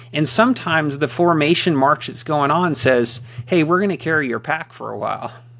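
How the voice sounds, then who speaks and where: Over noticeable background noise, a man talks at a fairly quick pace with fairly high pitch and ordinary pitch variation. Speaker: ruling elder. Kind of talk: casual chat.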